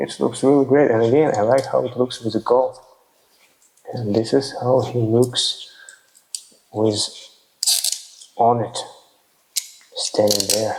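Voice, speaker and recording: Speaking with a non-native accent, a man talks at a fairly slow pace with monotone, flat intonation and long, frequent pauses. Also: medium pitch for a man. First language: not English. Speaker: toy figure reviewer. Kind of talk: ASMR toy review. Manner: soft-spoken; halting.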